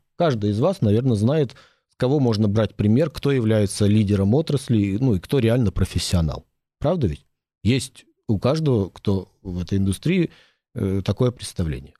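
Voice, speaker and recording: Over a silent background on a very clean recording, a man with a fairly low pitch and a dark, mellow tone speaks at a moderate pace, using lively intonation and very even loudness. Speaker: dentist and medical lawyer. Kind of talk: interview. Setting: studio.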